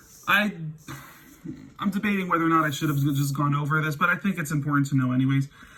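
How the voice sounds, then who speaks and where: Over noticeable background noise, a man with a fairly high pitch talks at a very fast pace with ordinary pitch variation and long, frequent pauses. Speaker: math teacher. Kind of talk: lecture. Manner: halting.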